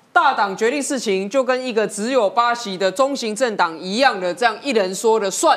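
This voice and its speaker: At a moderate pace and with hardly any pauses, the speech has ordinary pitch variation and noticeable background noise. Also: woman, fairly high pitch for a woman. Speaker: city councillor. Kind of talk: political talk show discussion.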